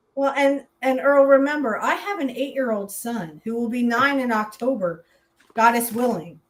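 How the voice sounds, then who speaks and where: Shouting loudly at a moderate pace, a woman uses a high pitch and lively intonation. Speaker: podcast co-host. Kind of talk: casual political chat. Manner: loud, yelling.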